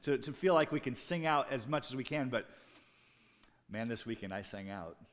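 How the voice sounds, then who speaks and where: Very wide pitch swings mark a man's speech at a fairly quick pace. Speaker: pastor. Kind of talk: sermon. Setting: church.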